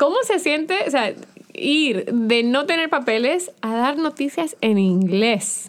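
Very slow pace with very wide pitch swings. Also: woman, high pitch for a woman. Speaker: podcast host. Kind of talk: casual interview. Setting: studio.

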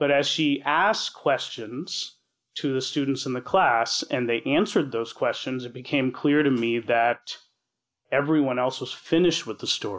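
A man's medium-pitched voice with an American accent, at a moderate pace with ordinary pitch variation. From Washington DC area, US. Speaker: chemical engineer storyteller. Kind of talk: personal story told on stage. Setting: live stage with audience. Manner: halting, repeats words.

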